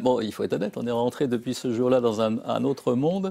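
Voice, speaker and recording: A man with lively intonation at a moderate pace. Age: 60s. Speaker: psychiatrist and psychoanalyst. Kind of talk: interview. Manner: halting.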